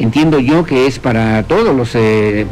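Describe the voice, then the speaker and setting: Light background noise sits behind the voice. A man speaks with ordinary pitch variation. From Mexico. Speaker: radio news host. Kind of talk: reading listener messages on morning news show. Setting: broadcasting from a hotel restaurant. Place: studio. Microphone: studio mic.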